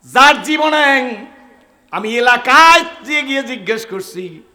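A man's raised, projected voice with lively intonation and an animated tone. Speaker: Islamic preacher. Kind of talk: sermon.

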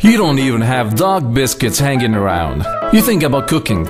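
A man is talking while clear music sounds behind him. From Lebanon. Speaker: voice actor. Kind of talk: TV commercial read. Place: studio. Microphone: studio mic.

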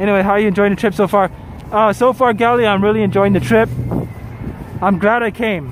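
A man talks very fast in a high voice, with ordinary pitch variation and very even loudness, pausing long and often. The sound is dry with no echo, and there is noticeable background noise. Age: 40s. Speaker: travel live streamer. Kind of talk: casual live stream commentary reading chat. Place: street. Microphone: phone near.

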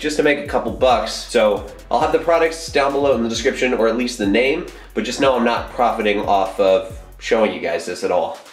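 A fairly quick-paced man's voice with audible room echo and faint music in the background. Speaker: fitness vlogger. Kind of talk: casual vlog chat. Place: bathroom. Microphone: phone near.

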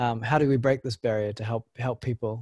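A man speaks somewhat breathily with fairly even intonation. The sound is dry with no echo over a quiet background. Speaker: workshop host and moderator; workshop host, moderator. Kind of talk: webinar moderation. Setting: video call. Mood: friendly, appreciative. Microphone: video call.

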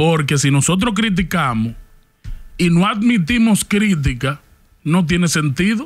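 The man's voice is high in pitch. He talks at a very slow pace. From Dominican Republic. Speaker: podcast co-host. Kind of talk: casual chat. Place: studio. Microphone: studio mic.

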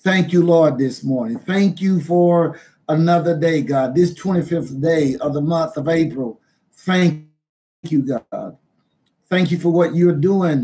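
At a very slow pace, a man talks with a high pitch and fairly even intonation. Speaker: minister. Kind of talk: prayer and sermon. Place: home room. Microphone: webcam.

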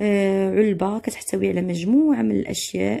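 A woman speaks with a Moroccan accent. Her pace is moderate. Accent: Moroccan Darija. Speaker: French teacher. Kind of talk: tutorial.

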